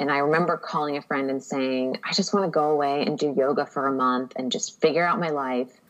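A woman with a very deep, low pitch and ordinary pitch variation, at a fairly quick pace. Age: 30s. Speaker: podcast guest, writer. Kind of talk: casual interview chat.

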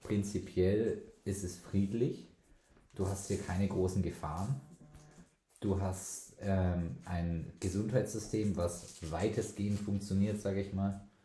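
Very slow and somewhat breathy, the dark, mellow voice holds a fairly even intonation, with audible room echo around it. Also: man, fairly low pitch for a man. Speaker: podcast host. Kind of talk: casual chat.

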